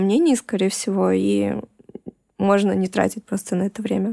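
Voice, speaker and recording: The voice comes at a moderate pace with a dry, close sound and no echo. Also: woman. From Russia. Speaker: tattoo artist and illustrator. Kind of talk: interview conversation.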